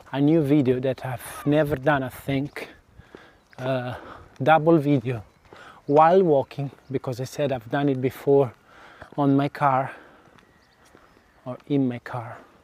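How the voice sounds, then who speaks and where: Long, frequent pauses from a man with an Italian accent, fairly high in pitch, at a fairly slow pace with fairly even intonation and noticeable background noise. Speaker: vlogger. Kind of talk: casual walking vlog. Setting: outdoors, walking. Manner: halting. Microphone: DJI mic without windscreen.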